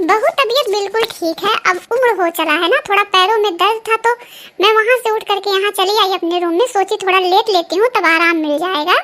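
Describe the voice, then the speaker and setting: A woman uses a cartoonish character voice at an extremely high pitch with ordinary pitch variation. She talks fairly quickly with hardly any pauses. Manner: homely, scolding.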